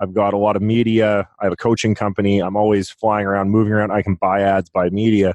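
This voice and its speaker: A man rattles along at a very fast pace with hardly any pauses, his fairly low pitch held in monotone, flat intonation, the sound dry and close with no echo over a quiet background. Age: 30s. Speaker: real estate investor. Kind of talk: interview conversation.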